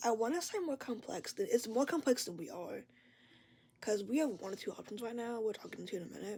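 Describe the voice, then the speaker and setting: Speaking at a very fast pace, a woman with a fairly high pitch and a dark, mellow tone uses lively intonation and big swings in loudness. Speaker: vlogger sharing mental health experience. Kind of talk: casual vlog monologue. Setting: at home, bedroom door open. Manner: rambling, halting.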